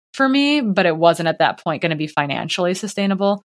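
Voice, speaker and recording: A normal speaking voice with an American accent. The pace is fairly quick and the intonation lively. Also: woman. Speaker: professional ultrarunner and coach. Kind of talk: interview conversation.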